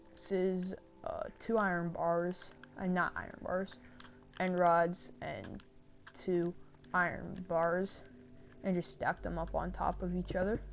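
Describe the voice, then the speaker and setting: Music plays in the background as a woman talks at a fairly slow pace with long, frequent pauses. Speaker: gaming youtuber. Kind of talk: gameplay tutorial commentary. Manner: hesitant, many fillers.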